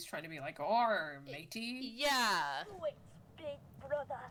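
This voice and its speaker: A put-on character voice that sounds female speaks at a fairly slow pace and a medium pitch, with very wide pitch swings and clear background noise. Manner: exaggerated swashbuckling.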